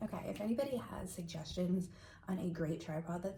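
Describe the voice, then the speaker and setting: A woman whispers. There is audible room echo and noticeable background noise. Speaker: crochet designer and craft vlogger. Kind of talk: casual vlog chat. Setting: at home by a hallway closet. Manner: whispering.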